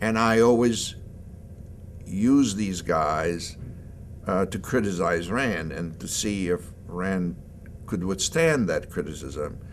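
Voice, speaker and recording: A man in a Hungarian accent, fairly low-pitched, with ordinary pitch variation and a fairly slow pace. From Hungary, Budapest. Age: 70s. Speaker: philosophy professor. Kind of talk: interview.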